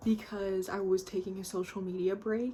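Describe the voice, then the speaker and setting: A woman speaks in a soft-spoken way. Her pitch is medium and her pace moderate. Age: 20s. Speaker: art vlogger. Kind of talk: casual chat.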